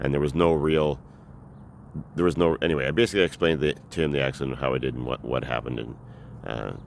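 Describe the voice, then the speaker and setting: Very deep and low, this man's voice carries vocal fry and ordinary pitch variation, racing at a very fast pace yet broken by long, frequent pauses. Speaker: vlogger. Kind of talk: personal storytelling. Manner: halting.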